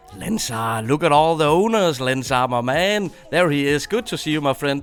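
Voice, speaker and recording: A man with a Danish accent, fairly high pitch, lively intonation and a moderate pace, over noticeable background noise. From Denmark. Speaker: gaming streamer. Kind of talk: live stream chat with viewers. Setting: live stream. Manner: animated.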